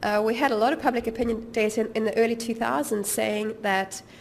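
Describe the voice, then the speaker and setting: Audible room echo surrounds a woman talking at a very fast pace with a fairly high pitch. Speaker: policy researcher. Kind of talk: lecture. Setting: seminar with audience. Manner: halting with fillers.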